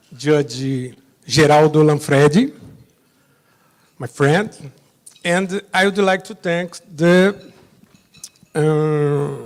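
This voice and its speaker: A man with a Brazilian Portuguese accent talks at a very slow pace in a fairly high voice, with long, frequent pauses and big swings in loudness. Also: ordinary pitch variation. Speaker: judge. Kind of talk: conference presentation.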